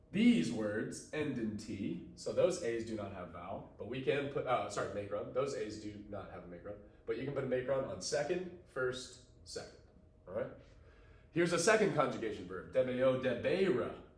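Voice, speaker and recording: Moderate-paced speech with big swings in loudness, audible room echo and noticeable background noise. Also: man. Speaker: teacher. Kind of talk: tutorial.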